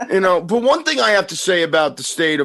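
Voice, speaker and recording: Here is a man with an ordinary speaking voice. He goes at a fairly quick pace. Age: 50s. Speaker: podcast host. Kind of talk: casual chat.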